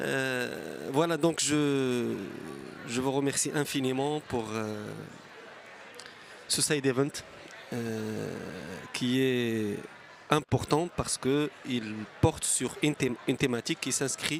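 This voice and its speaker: With noticeable background noise, a man at medium pitch speaks at a very slow pace with ordinary pitch variation and long, frequent pauses. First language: French or Arabic, not English. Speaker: government energy official. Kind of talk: conference panel talk.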